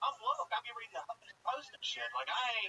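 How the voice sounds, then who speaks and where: With an American accent, a man speaks in a dry, close sound with no echo. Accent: Southern redneck. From Georgia, US South. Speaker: stand-up comedian. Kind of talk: stand-up.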